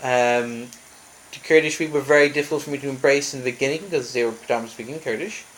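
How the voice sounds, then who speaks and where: A man talks at a very fast pace with fairly even intonation, but his loudness swings widely. Noticeable background noise is present throughout. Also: fairly high pitch for a man. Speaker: traveller sharing his journey. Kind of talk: personal vlog monologue.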